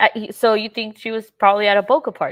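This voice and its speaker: In a Mexican accent, a woman speaks at a fairly quick pace with fairly high pitch. The recording is very clean and silent behind her, dry and close with no echo. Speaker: livestream host discussing a missing-person case. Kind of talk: live stream chat reading viewer comments.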